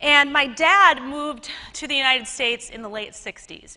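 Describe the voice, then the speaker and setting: A woman speaks in a raised, projected voice with a Minnesota accent, her tone bright, sharp, animated and playful. Her pitch varies in an ordinary way, and her pace is moderate. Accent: Minnesota American. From Minnesota, US Midwest. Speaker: conference speaker, web TV host. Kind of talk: conference talk. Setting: stage with audience. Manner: animated, playful.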